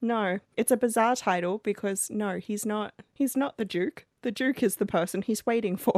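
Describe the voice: Plain reading aloud with ordinary pitch variation comes over a quiet background.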